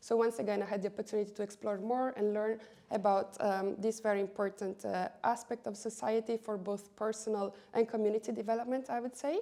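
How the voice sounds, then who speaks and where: A woman with an Italian accent, hardly any pauses, and noticeable background noise. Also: fairly high pitch for a woman, fairly even intonation, fairly quick pace. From Italy. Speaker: education policy coordinator. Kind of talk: interview.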